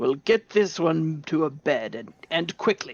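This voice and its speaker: In a put-on character voice, the speaker talks at a middle pitch and a fairly slow pace. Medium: actual play. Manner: gruff, weary.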